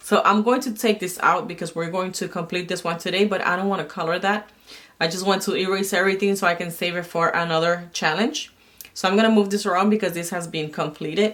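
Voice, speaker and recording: A woman talks at a very fast pace. Her medium pitch holds fairly even intonation. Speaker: budgeting and planner vlogger. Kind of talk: casual tutorial while cash stuffing. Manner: quiet; hesitant, many fillers.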